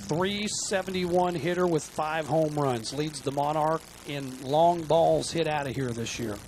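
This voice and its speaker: Over noticeable background noise, a man talks very slowly at a fairly high pitch with ordinary pitch variation. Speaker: baseball color commentator. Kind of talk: live baseball color commentary, analytical chat between pitches. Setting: ballpark broadcast booth. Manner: relaxed, conversational, with filler 'uh'.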